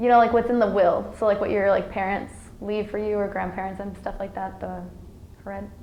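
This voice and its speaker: A woman speaks very fast with an American accent at a medium pitch, her intonation flat and monotone, with audible room echo and noticeable background noise. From Iowa, US Midwest (Sioux City), with childhood time in Mexico. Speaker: college student. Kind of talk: interview. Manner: hesitant, many fillers.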